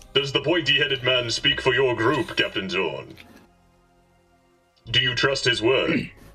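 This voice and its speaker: The speaker performs a put-on character voice at a moderate pace. Faint music plays in the background. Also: man. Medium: actual play. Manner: formal, measured, diplomatic.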